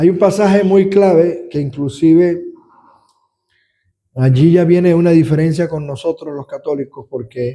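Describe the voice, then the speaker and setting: A man with a high pitch and a dark, mellow tone talks at a fairly slow pace. He leaves long, frequent pauses, and his pitch varies in an ordinary way. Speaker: deacon teaching a Bible study. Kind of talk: Bible study lecture.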